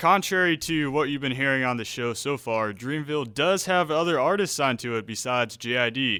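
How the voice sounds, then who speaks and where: In a plain, everyday voice with an American accent, this speaker moves at a fairly quick pace with hardly any pauses and ordinary pitch variation. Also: man, fairly high pitch for a man. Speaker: radio host. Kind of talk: live radio talk between songs. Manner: casual, upbeat, conversational.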